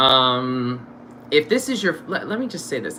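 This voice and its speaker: A man speaks at a fairly quick pace with a medium pitch and lively intonation, over noticeable background noise. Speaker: stage actor and show host. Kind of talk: casual interview chat. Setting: live stream. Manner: loud, projecting; animated.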